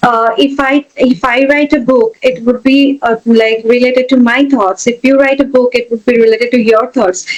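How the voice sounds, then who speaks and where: Over noticeable background noise, a woman with an Indian accent speaks at a high pitch and a moderate pace, with fairly even intonation and very even loudness. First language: an Indian language, not English. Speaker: educator and technologist. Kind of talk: interview. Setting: podcast. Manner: hesitant, many fillers.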